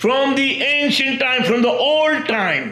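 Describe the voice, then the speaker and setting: A man speaks in a raised, projected voice at a fairly slow pace. Audible room echo and noticeable background noise surround him. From India. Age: 60s. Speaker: self-proclaimed messiah preacher. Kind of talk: religious monologue. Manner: halting, with frequent repetitions and fillers.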